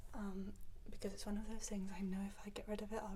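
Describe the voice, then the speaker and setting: A soft-spoken voice comes through with a British accent. Noticeable background noise sits behind it. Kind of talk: ASMR clothing try-on talk.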